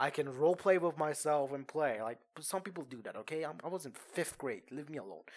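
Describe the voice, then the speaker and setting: With a Persian accent, a man speaks in a fairly high pitch and with ordinary pitch variation. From Iran. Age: 20s. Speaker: podcast host. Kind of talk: casual storytelling. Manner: halting, many fillers.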